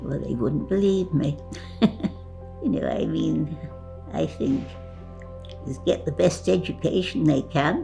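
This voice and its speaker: A woman speaks at a very slow pace, with long, frequent pauses. Music plays in the background. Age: 80s+. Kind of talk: interview answer.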